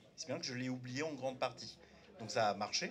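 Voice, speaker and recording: Music plays in the background. A man is speaking. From France, Turkish immigrant family, arrived at age seven. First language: Turkish (speaking French). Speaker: panel debate speaker. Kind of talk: public panel debate. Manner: halting, many hesitations.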